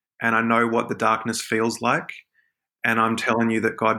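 A bright, sharp tone at a moderate pace on a very clean recording with a silent background. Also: man. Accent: Australian. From Australia, Sydney. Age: 30s. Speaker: author. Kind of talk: casual chat. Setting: podcast interview.

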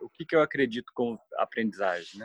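The speaker is a man. His voice sounds dry and close, with no echo. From Brazil. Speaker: history teacher, alternative education project member. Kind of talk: interview conversation.

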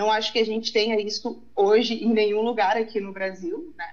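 A woman talks at a fairly slow pace. She has a fairly high pitch and a normal speaking voice. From southern Brazil, Uruguaiana on the Argentine border. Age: 30s. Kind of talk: casual chat. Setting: remote recording.

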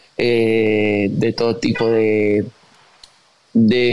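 The delivery is monotone, with flat intonation. There is noticeable background noise. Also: man. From Argentina, Tucumán (northwest). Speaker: musician and influencer. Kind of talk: casual interview. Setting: video call.

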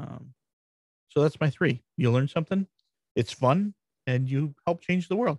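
In an American accent, a man speaks with a fairly high, somewhat breathy voice and lively intonation. His moderate pace is broken by long, frequent pauses, and the sound is dry and close with no echo. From Michigan, US Midwest. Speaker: WordPress strategist and blog founder. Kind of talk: casual interview.

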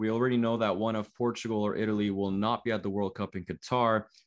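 In a plain, everyday voice, a man speaks at a medium pitch and a fairly quick pace with fairly even intonation against a quiet background. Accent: Canadian. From Canada, Toronto. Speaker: podcast host. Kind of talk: casual chat.

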